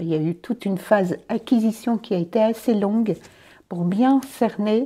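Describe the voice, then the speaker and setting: On a very clean recording with a silent background, a dark, mellow tone moves at a fairly slow pace. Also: woman. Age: 60s. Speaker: volunteer running a community space. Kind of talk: interview.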